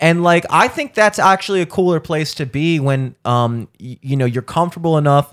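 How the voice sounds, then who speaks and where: On a very clean recording with a silent background and a dry, close sound with no echo, a man with an American accent talks at a moderate pace and fairly high pitch, with lively intonation and hardly any pauses. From Baltimore area, Maryland (Towson). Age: 30s. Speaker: comedian, podcast co-host. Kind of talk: casual chat.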